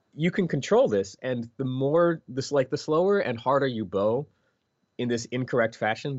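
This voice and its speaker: A man with a Philadelphia accent talks at a moderate pace and medium pitch, his intonation lively. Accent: American, Philadelphia. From US Northeast, Philadelphia. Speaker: video game composer. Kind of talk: interview. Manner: animated.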